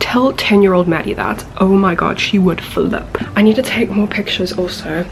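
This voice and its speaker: Soft-spoken woman, medium pitch, fairly quick pace, noticeable background noise. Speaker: travel vlogger. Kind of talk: vlog narration. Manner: animated.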